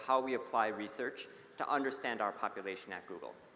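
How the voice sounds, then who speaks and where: A man speaks very fast at a medium pitch, with a bright, sharp tone. Audible room echo surrounds his voice. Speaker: conference speaker on people analytics. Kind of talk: conference presentation.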